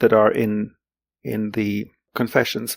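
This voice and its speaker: On a very clean, dry and close recording with no echo and a silent background, a man with a German accent talks fairly slowly at a medium pitch. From Greece. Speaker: literary translator. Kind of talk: interview. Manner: halting, many fillers and repetitions.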